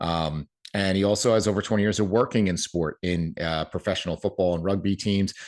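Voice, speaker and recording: A man with a New Jersey accent talks fairly quickly in a very deep, low pitch, his intonation fairly even over a quiet background. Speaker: podcast host. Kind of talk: podcast interview.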